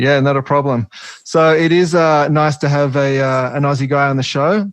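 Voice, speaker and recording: With an Australian accent, a man talks at a moderate pace and a fairly high pitch, his loudness very even and his intonation fairly even. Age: 30s. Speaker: podcast host. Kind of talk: podcast interview.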